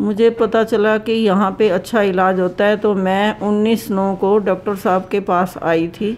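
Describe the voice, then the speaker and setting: Hardly pausing, a woman speaks at a medium pitch with very even loudness. Her intonation stays monotone and flat. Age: 60s. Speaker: patient. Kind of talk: testimony.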